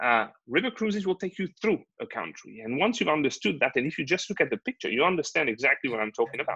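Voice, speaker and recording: Talking at a very fast pace in a French accent, a man has a fairly high voice with a bright, sharp tone and very wide pitch swings. The sound is dry and close with no echo, and the background is quiet. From France, Normandy. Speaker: river cruise manager and sales representative. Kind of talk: webinar sales presentation. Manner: halting, many fillers.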